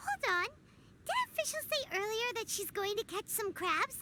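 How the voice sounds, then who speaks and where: A squeaky, put-on character voice at an extremely high pitch over clear background noise. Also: moderate pace. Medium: video game. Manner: bubbly, cheeky.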